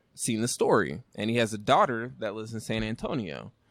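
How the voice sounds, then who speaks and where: In a very clean recording with a silent background, a man with an American accent uses a normal speaking voice at medium pitch and a moderate pace. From Northern California (Rancho Cordova area). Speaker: brewery owner and brewer. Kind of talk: casual interview chat. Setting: brewery.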